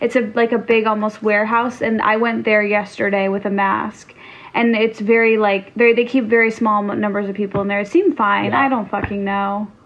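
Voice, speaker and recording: A woman's fairly high voice at a fairly quick pace with hardly any pauses, monotone and flat in intonation, amid noticeable background noise. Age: 30s. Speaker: podcast co-host. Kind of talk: casual chat.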